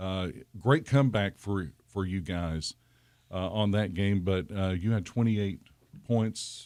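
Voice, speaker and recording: On a very clean recording with a silent background, a man speaks at a fairly slow pace and fairly low pitch, his pitch varying in an ordinary way. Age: 50s. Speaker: radio host. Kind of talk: sports talk radio interview. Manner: halting, many fillers.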